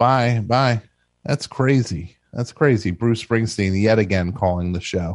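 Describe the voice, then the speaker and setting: Against a quiet background, a plain, everyday voice with an American accent speaks at a fairly slow pace with ordinary pitch variation. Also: man, medium pitch for a man. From New Jersey. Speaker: radio call-in show host. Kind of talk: call-in comedy show. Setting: studio.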